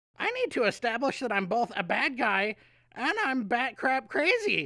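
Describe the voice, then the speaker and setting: A put-on character voice, female-sounding and high in pitch, at a moderate pace. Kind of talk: exaggerated stagy delivery. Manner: crazy, over the top.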